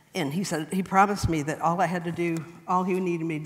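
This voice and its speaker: A woman with an American accent and a fairly low pitch at a very fast pace, amid noticeable background noise and audible room echo. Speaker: church member speaker. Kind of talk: personal testimony talk. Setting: church class.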